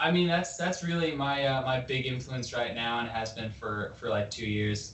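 A man with a Canadian accent and a plain, everyday voice, medium in pitch, at a moderate pace with ordinary pitch variation. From Vancouver, Canada. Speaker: rock band member. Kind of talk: casual chat. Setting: video call.

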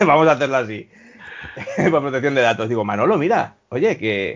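The speaker is a man with a medium pitch. He talks fairly quickly. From Spain, Valencia. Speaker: hospitality worker. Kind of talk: casual chat.

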